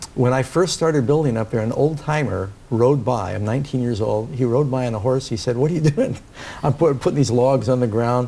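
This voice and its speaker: This man has an ordinary speaking voice with an American accent, medium pitch, ordinary pitch variation and a fairly quick pace. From New York City. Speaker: pastor. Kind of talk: interview.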